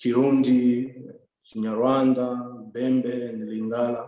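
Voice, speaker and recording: A man's medium-pitched voice at a very slow pace, with audible room echo. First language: French. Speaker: development worker, scholarship recipient. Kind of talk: interview. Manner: hesitant, many fillers.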